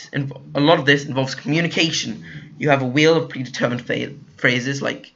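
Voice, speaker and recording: Speaking at a very fast pace with a British accent, the man has a fairly high pitch. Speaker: gaming YouTuber. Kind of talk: video game review. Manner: halting, many fillers.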